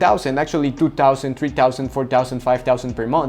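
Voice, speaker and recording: The man's pace is fairly quick. Behind him, music plays in the background. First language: Spanish. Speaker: coaching business consultant. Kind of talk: tutorial. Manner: halting, with repetitions.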